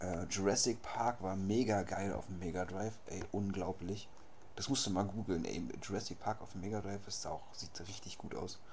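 A man's fairly low voice at a moderate pace, fairly even in intonation, with audible room echo. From Berlin. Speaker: podcast host. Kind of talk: casual chat.

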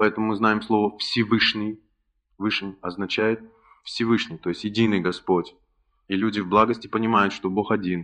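A man with fairly low pitch and fairly even intonation. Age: 30s. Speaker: spiritual lecturer. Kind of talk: lecture.

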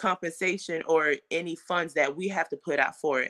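A woman with an American accent has a plain, everyday voice, a fairly low pitch and fairly even intonation at a moderate pace. The sound is dry and close with no echo, on a very clean recording with a silent background. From Fort Lauderdale, Florida, Haitian family. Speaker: mental health therapist and non-profit founder. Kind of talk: interview.

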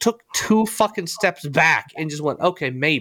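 A man with a bright, sharp tone at a moderate pace. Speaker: podcast host. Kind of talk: casual chat.

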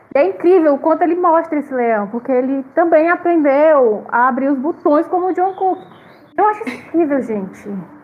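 There is noticeable background noise as a woman speaks at a moderate pace. Her high voice carries lively intonation. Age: 30s. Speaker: podcast cast member. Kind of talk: casual chat.

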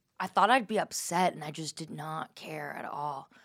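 A woman with an American accent speaks at a moderate pace in an unremarkable speaking voice. Her pitch varies in an ordinary way. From New York area. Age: 20s. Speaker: comedian and podcast host. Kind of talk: casual chat. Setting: studio.

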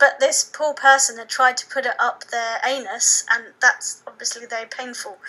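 A high-pitched woman with a southern English accent, her raised, projected voice at a moderate pace with hardly any pauses, ordinary pitch variation and big swings in loudness, over noticeable background noise. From England, Suffolk. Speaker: author. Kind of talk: interview.

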